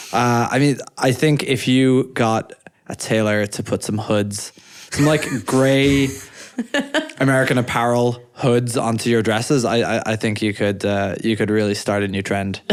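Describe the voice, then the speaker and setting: Here a man with an Irish accent talks at a fairly slow pace. His medium pitch follows fairly even intonation. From Ireland. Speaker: podcast co-host, startup founder. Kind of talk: casual chat. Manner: halting, repeats words.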